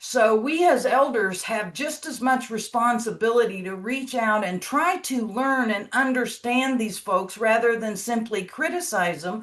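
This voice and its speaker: A woman with a fairly high pitch speaks at a fairly slow pace. There is noticeable background noise. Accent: American. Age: 60s. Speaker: long-term care administrator. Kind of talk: panel discussion.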